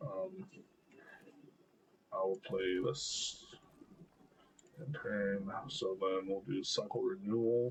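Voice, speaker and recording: A man speaks at a very slow pace. Long, frequent pauses break up his speech. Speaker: gaming streamer. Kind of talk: gameplay commentary. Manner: hesitant, many fillers.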